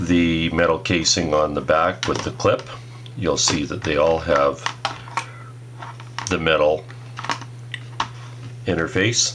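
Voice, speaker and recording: Light background noise sits under the man's voice. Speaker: product reviewer. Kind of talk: tutorial. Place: workshop. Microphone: phone near.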